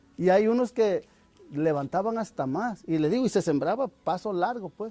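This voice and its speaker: A man talks with lively intonation at a fairly slow pace. The sound is dry and close, with no echo. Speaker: farmer. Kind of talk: testimony.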